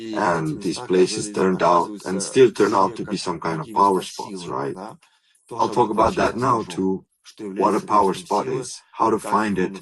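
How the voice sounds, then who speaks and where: A man's fairly low-pitched voice moves at a fairly slow pace with ordinary pitch variation. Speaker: body psychologist and energy practice teacher. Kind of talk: live stream talk. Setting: live stream while traveling abroad. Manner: slow at the start.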